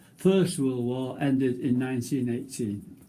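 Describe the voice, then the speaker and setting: A man's dark, mellow, somewhat breathy voice at medium pitch, unfolding at a fairly slow pace. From northern England. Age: 90s. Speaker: war veteran. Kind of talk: reading aloud; casual chat. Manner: halting.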